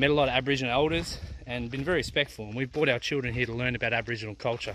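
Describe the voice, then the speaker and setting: Intonation stays fairly even. The sound is dry with no echo, with light background noise. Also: man. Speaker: family travel vlogger. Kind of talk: casual vlog chat. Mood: disappointed, somewhat angry. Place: open country. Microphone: phone near.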